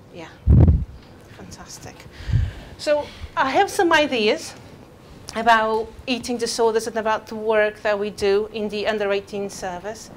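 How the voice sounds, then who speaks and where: A woman with a non-native accent speaks at a fairly slow pace, leaving long, frequent pauses. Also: fairly high pitch for a woman, ordinary pitch variation, big swings in loudness. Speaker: eating disorder clinician. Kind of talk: talk to an audience. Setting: venue with live audience and microphone. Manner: halting with fillers.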